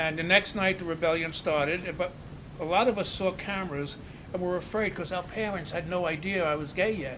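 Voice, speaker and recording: A man's high-pitched voice with fairly even intonation amid noticeable background noise. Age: 80s+. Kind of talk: casual interview chat.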